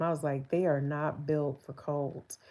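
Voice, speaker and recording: This woman's voice sits very deep and low, with fairly even intonation. The recording is very clean, with a silent background. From New Jersey. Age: 40s. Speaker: livestreamer, military veteran. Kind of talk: casual livestream chat. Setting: livestream at home, in bed.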